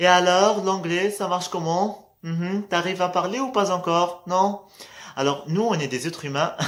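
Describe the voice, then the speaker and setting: The man's delivery moves at a fairly slow pace. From Morocco. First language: Moroccan Arabic (speaking French). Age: 20s. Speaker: vlogger. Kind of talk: casual motivational vlog. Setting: at night, in low light. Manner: hesitant, many fillers.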